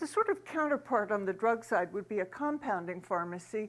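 Her pace is moderate as the woman talks, and her pitch varies in an ordinary way. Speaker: conference presenter. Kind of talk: lecture. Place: hall.

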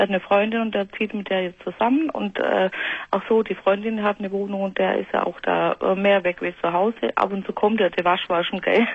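A woman speaks at a fairly quick pace with fairly even intonation, and the sound is dry with no echo. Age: 40s. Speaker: caller with panic disorder; radio caller. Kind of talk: phone-in call. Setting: phone call. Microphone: phone line.

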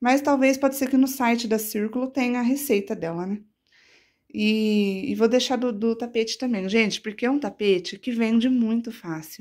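A woman talks in a plain, everyday voice at a moderate pace. Her pitch varies in an ordinary way, and the background is quiet. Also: fairly high pitch for a woman. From Brazil, São Paulo state (Catanduva); São Paulo state, Brazil. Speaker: crochet artisan and YouTuber; YouTuber. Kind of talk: casual show-and-tell tutorial. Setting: at home in her bedroom. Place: home room. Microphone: phone near.

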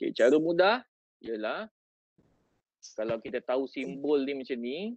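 A man with a Malaysian accent talks at a fairly slow pace with very wide pitch swings, in a dry sound with no echo against a quiet background. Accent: Malaysian Malay. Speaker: teacher and education officer. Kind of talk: tutorial. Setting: video call. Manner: animated. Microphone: video call.

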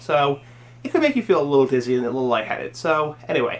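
Music plays in the background while a man talks. He speaks at a very fast pace with lively intonation. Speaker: pipe tobacco reviewer. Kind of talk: casual vlog review. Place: home room. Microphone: webcam.

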